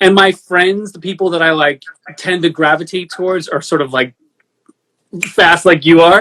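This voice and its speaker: With a New York accent, a man speaks at a moderate pace in a high pitch, his tone bright and sharp, his intonation fairly even, and his speech broken by long, frequent pauses. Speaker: record producer and podcast host. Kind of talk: casual chat.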